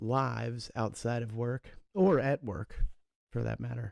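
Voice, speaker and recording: A man with a medium pitch and a dark, mellow tone speaks at a fairly slow pace. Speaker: podcast co-host, first responder. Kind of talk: casual chat.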